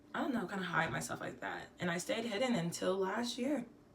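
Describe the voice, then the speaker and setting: Noticeable background noise and audible room echo fill the clip. A woman talks at a fairly quick pace with ordinary pitch variation. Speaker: singer-songwriter. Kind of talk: casual vlog monologue.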